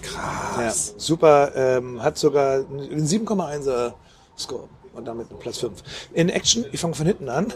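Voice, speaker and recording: Over noticeable background noise, a man speaks at a very slow pace with a fairly high pitch. His intonation is lively, and his loudness swings widely. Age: 50s. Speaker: podcast co-host. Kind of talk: casual chat. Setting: outdoors.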